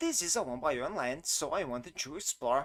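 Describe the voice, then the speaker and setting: Recorded very clean, dry and close with no echo and a silent background, a man speaks at a moderate pace with a Brazilian Portuguese accent. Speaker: game developer. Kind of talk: tutorial. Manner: non-native, occasional halting.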